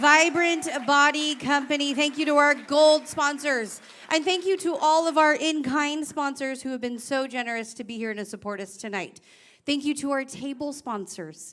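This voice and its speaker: Her voice is high-pitched for a woman, with a bright, sharp tone. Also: ordinary pitch variation, moderate pace. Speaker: auctioneer. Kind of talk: live auction / gala emcee. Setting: stage with audience. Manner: loud.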